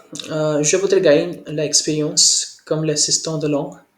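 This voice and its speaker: A man with a non-native accent speaks at a very slow pace. His pitch is fairly high. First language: not French (speaking French). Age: 20s. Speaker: French language learner. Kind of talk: language lesson conversation. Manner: halting, many hesitations.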